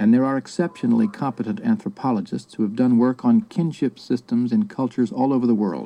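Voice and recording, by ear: The text is being read aloud in a natural voice.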